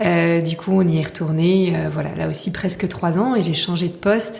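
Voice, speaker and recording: There is noticeable background noise and audible room echo around a woman speaking at a fairly low pitch. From Paris region, France. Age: 30s. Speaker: brand co-founder. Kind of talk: podcast interview. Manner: hesitant, many fillers.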